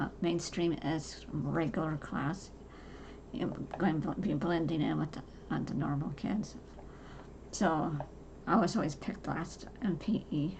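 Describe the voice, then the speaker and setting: Fairly low-pitched woman's voice with vocal fry and audible room echo. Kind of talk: personal monologue. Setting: home. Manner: halting.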